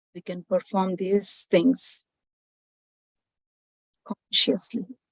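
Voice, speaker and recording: A somewhat breathy, medium-pitched woman's voice at a very slow pace, with fairly even intonation and a dry, close sound free of echo. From Andhra Pradesh, India. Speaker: IT consulting business owner, spiritual seeker. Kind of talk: spiritual talk on meditation and wisdom.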